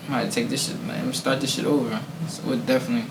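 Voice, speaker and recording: A man with an American accent talks at a very fast pace and a fairly high pitch. Noticeable background noise and audible room echo fill the recording. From Harrisburg, Pennsylvania. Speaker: rapper. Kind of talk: casual interview.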